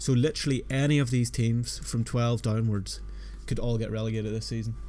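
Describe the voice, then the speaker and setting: Music plays in the background while a man talks at a moderate pace. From Northern Ireland. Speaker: football fantasy streamer. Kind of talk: live stream chat. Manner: casual, conversational.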